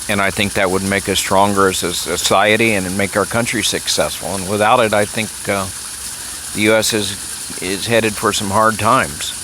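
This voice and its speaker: A man speaks in a fairly low voice with an American accent. His intonation is monotone and flat, and there is noticeable background noise. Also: moderate pace. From Texas. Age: 70s. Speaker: political commentator vlogger. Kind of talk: personal monologue. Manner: hesitant, many fillers.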